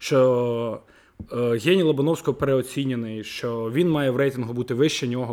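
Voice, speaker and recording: A man speaks at a medium pitch and a moderate pace with ordinary pitch variation. He has a plain, everyday voice. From Kyiv, Ukraine. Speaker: football fan. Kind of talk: casual podcast discussion.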